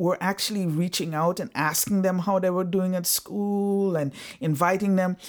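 A woman speaks at a medium pitch with ordinary pitch variation and a slight Antiguan accent. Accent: slight Caribbean (Antiguan). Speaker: social work professor. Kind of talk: interview conversation. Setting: home living room.

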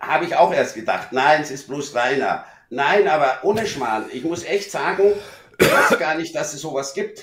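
Speaking at a moderate pace in a normal speaking voice, a man has a fairly high pitch and ordinary pitch variation. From Munich, Bavaria. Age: middle-aged. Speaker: friend of the host. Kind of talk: casual chat.

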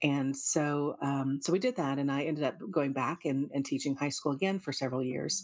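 A woman's very deep, low pitch at a fairly quick pace, with fairly even intonation and hardly any pauses. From US, military family, partly raised in South Korea. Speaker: university center director and researcher. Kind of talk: interview. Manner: hesitant, with frequent fillers and repetitions.

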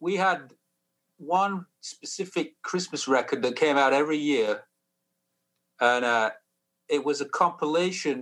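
Speaking with a Sheffield accent, a man has a bright, sharp tone and lively intonation at a moderate pace. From northern England (Sheffield). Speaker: musician. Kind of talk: casual interview.

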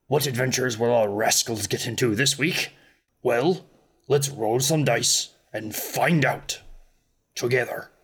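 A raspy voice at a fairly slow pace, broken by long, frequent pauses. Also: man, medium pitch for a man. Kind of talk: podcast show introduction. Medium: actual play. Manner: warm, playful, theatrical.

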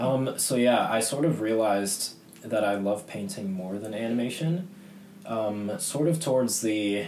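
A man with an American accent and fairly low pitch talks at a moderate pace with lively intonation. Noticeable background noise and audible room echo surround him. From US Northeast, Boston. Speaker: illustrator. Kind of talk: radio interview.

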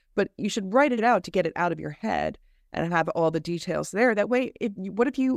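Her American accent and vocal fry stand out as a woman speaks at a fairly quick pace with lively intonation. The recording is very clean, with a silent background. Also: dry, close sound with no echo. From New Jersey. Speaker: storyteller and college instructor. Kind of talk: podcast interview. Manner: laughs often while talking.

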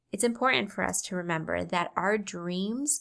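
A woman speaks in an animated tone at medium pitch with vocal fry, ordinary pitch variation and a moderate pace. The recording is very clean, with a silent background. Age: 30s. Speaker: beauty business owner and podcast host. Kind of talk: motivational solo podcast talk.

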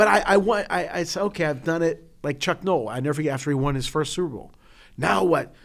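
A man with an American accent talks very fast at a fairly high pitch, on a very clean recording with a silent background. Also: lively intonation. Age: 50s. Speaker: podcast co-host. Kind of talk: casual chat.

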